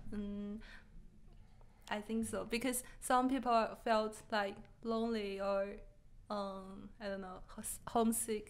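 With a Chinese accent, a woman speaks at a very slow pace in a fairly high pitch, her intonation monotone and flat, with long, frequent pauses. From China. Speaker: podcast guest. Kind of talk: casual chat; interview answer. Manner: halting. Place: studio. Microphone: studio mic.

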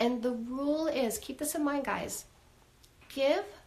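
Lively intonation carries the words along at a fairly slow pace. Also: woman. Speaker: dating coach. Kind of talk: live stream advice talk. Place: home room.

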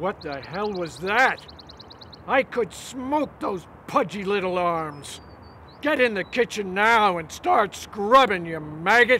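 In a raised, projected voice, a man speaks at a very slow pace with a bright, sharp tone and lively intonation. Light background noise can be heard. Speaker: actor playing a drill-sergeant-like father. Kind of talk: scripted film dialogue, shouting orders.

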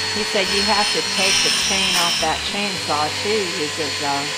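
Loud background noise sits under fairly slow speech. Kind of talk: casual vlog commentary. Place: workshop.

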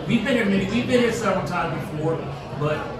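A man's voice carries audible room echo. Loud background noise sits behind him. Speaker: restaurant vlogger. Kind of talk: casual vlog chat. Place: hall.

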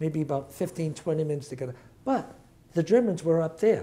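Speaking fairly quickly with a New England accent, a man has a fairly high pitch, a dark, mellow tone and ordinary pitch variation. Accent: New England American. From Worcester, Massachusetts. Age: 70s. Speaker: retired music educator. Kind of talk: oral history interview. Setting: recorded interview with camera.

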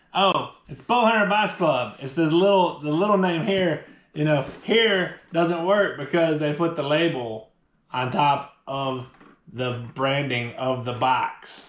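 A man at a very slow pace, with audible room echo. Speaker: product reviewer. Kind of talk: casual unboxing review chat. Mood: amused, joking. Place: home room. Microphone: camera far.

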